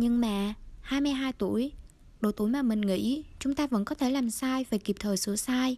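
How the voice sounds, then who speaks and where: A woman speaks at a moderate pace in a high pitch with a dark, mellow tone and ordinary pitch variation. Her loudness stays very even, and the recording is very clean with a silent background. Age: 20s. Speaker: podcast host. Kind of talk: scripted narration.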